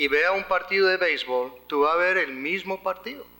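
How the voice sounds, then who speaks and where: The voice is raised and projected, in an American accent. It moves at a fairly slow pace with ordinary pitch variation. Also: man. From United States. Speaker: legal expert speaker. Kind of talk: conference lecture.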